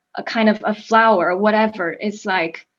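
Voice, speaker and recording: Using fairly even intonation, a woman with a fairly high pitch speaks at a fairly slow pace in a Chinese accent. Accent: Mandarin Chinese accent in English. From China, Beijing. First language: Mandarin. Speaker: actor. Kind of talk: interview. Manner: halting, frequent repetitions.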